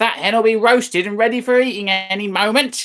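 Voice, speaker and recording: Shouting in a put-on character voice, the speaker goes at a fairly quick pace and a fairly high pitch. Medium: read story. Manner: shouting, sharp and spiteful.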